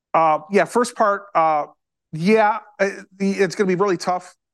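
This man's voice sits high in pitch and keeps a fairly even intonation. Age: 60s. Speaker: autograph collector. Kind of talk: casual interview. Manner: halting, many repetitions.

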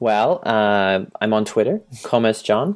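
A man with an Australian accent, fairly slow in pace and fairly even in intonation. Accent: Australian, non-rhotic. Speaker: software product manager. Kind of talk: interview. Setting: Skype call.

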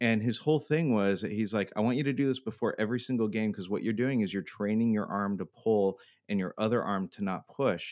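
A man talks at a fairly quick pace with a fairly low pitch. He has ordinary pitch variation and a plain, everyday voice. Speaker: podcast host. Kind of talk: casual chat. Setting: home bunker, recording remotely.

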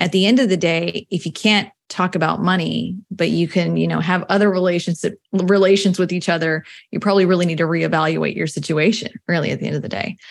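A woman talks at a fairly quick pace with vocal fry. Her pitch is fairly low and her intonation fairly even. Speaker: personal finance coach. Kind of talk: interview.

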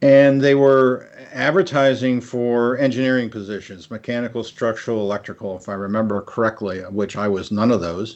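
In a normal speaking voice, a man of medium pitch talks at a fairly quick pace with ordinary pitch variation and hardly any pauses. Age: 60s. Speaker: retired architect and theme park executive. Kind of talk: interview.

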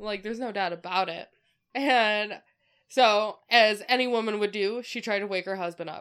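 A woman with a fairly high pitch and an unremarkable speaking voice makes big swings in loudness. The recording is very clean, with a silent background. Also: moderate pace. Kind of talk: narrating a ghost story from notes, with playful banter. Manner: casual storyteller, dry and amused, cracking jokes.

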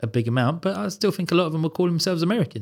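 In an English accent, a man speaks with very wide pitch swings on a very clean recording with a silent background. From England. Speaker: podcast guest. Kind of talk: casual debate. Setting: studio.

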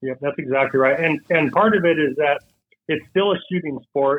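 In a plain, everyday voice, a man speaks with an American accent at a fairly high pitch. His pace is moderate and his pitch varies in an ordinary way. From western Washington State, US. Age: 30s. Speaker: target manufacturer, sponsor. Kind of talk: casual interview.

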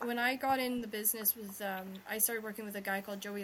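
Speech at a fairly quick pace with monotone, flat intonation comes through noticeable background noise. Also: woman. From Scotland. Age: 30s. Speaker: podcast host and romance author. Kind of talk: casual chat. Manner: fast talker.

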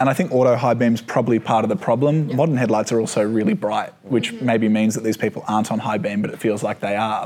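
With an Australian accent, a man talks at a very fast pace with ordinary pitch variation. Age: 20s. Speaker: motoring journalist. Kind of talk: casual chat.

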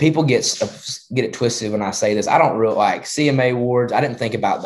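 At a very fast pace, a man with a rural Southern US accent talks at a medium pitch with fairly even intonation. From rural Georgia. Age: young. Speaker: country singer-songwriter. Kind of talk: interview.

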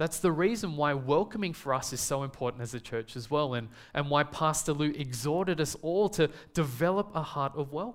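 A man with an Australian accent talks at a fairly quick pace, his fairly high pitch rising and falling in an ordinary way. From Australia, Melbourne. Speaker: preacher. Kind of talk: sermon.

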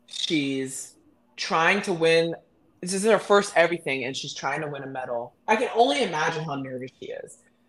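Over music in the background, a woman with an American accent speaks at a fairly low pitch, her intonation lively and her loudness swinging widely. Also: moderate pace. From Texas, Midland. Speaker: Olympic swimmer. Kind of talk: casual interview.

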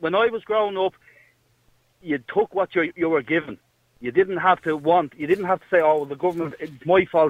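At a moderate pace, a man with an Irish accent speaks in a high voice with ordinary pitch variation. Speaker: caller. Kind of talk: heated debate. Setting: phone call.

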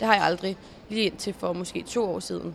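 A woman talks at a moderate pace, her pitch in the medium range. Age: 20s. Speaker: show jumping rider. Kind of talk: interview. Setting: horse stables.

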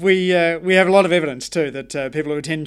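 Against a silent background in a very clean recording, a man talks with an Australian accent and fairly even intonation. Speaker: podcast host. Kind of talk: interview conversation. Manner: halting with many uh fillers.

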